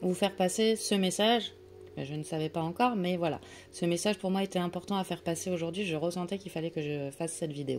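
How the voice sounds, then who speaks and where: A woman speaks at a very fast pace. Her pitch is fairly low. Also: ordinary pitch variation. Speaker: tarot and oracle card reader. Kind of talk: oracle card reading guidance. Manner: hesitant, many fillers.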